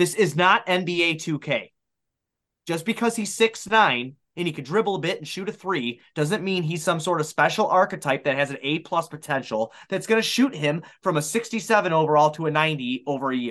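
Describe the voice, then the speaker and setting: Against a quiet background, a man with an American accent speaks in a high pitch for a man with lively intonation. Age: 30s. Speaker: sports podcaster. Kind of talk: casual chat.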